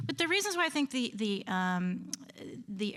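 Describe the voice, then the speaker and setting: Here a woman speaks with an American accent at a medium pitch. There is noticeable background noise. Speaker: conference panelist, historian. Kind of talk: conference talk. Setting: lecture hall with audience. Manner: halting, many fillers.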